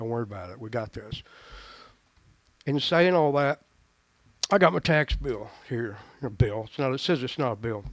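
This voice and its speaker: A medium-pitched man with a Tennessee accent, lively intonation, big swings in loudness, a moderate pace and long, frequent pauses. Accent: Southern US (Tennessee). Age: 60s. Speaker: retired pastor speaking at public comment. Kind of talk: public comment at county meeting. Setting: public meeting hall. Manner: halting, with repeated stumbles.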